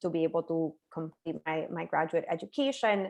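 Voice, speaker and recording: A woman with a Spanish accent speaks at a fairly slow pace and a fairly low pitch. The background is quiet. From Puerto Rico. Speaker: neuroscience professor. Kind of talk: webinar talk.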